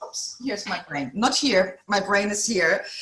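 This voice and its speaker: A woman's voice, with ordinary variation in pitch, comes through noticeable background noise. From Germany. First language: German. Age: 50s. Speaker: executive coach. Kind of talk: podcast interview.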